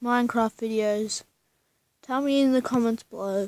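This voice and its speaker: A quiet woman's voice, high in pitch, with fairly even intonation. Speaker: gaming YouTuber. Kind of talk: gameplay commentary.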